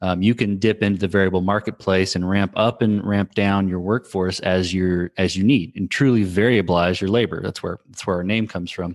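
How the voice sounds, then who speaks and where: A man with a plain, everyday voice and a fairly low pitch speaks at a fairly quick pace with an American accent, fairly even intonation and hardly any pauses, in a dry, close sound with no echo against a quiet background. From Texas. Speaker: startup founder and CTO. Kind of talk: interview. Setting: remote podcast recording. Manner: frequent fillers and restarts.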